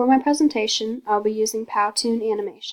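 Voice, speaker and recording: Soft-spoken, a woman talks at a fairly quick pace with a fairly high pitch and ordinary pitch variation. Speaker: college student. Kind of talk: class presentation. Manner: fast.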